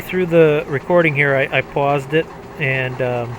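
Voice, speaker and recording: A man's fairly high voice, fairly slow and fairly even in intonation, over noticeable background noise. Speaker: gaming video creator. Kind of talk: gameplay commentary. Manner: halting; casual.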